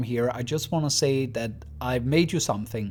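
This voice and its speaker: Ordinary pitch variation in a man's medium-pitched speech, noticeable background noise underneath. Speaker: YouTube lore storyteller. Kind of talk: channel milestone address. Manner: halting.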